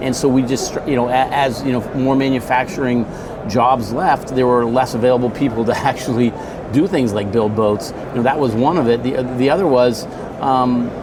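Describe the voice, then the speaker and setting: With an American accent, a man of medium pitch talks at a moderate pace with fairly even intonation and very even loudness, amid noticeable background noise and audible room echo. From USA. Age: 60s. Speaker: boat company executive. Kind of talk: interview. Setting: conference event. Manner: halting, many fillers.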